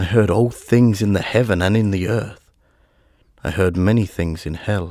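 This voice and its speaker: A man speaks fairly slowly in a fairly low voice with fairly even intonation. The recording is very clean, with a silent background. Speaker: audiobook narrator. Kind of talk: dark, spooky audiobook narration.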